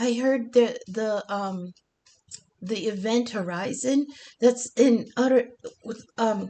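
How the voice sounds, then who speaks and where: A put-on character voice, fairly high and raspy, moves at a very slow pace. Long pauses come often. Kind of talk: halting, with filler words. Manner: stuttering, hesitant.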